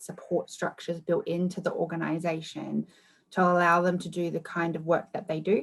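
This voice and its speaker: Fairly quick in pace, a woman speaks with an Australian accent. Her pitch is fairly low. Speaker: research manager. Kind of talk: conference Q&A.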